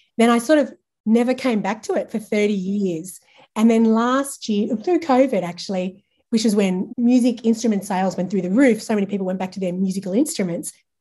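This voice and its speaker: A woman with an Australian accent talks at a fairly quick pace, her fairly high voice dark and mellow in tone, somewhat breathy, with ordinary pitch variation. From Australia, regional New South Wales. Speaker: branding and marketing agency owner. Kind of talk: casual interview chat.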